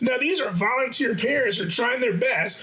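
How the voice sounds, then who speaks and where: Noticeable background noise sits behind a man's raised, projected voice. His pitch is extremely high, and his tone is animated. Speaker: basketball coach. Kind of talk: podcast discussion. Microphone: audio issues from adjusted setup.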